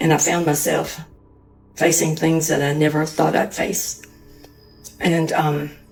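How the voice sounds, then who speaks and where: Music plays in the background as a woman speaks in a very deep, low voice with monotone, flat intonation. Her loudness stays very even, broken by long, frequent pauses. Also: fairly slow pace. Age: 60s. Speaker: woman going through divorce. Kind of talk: personal testimony.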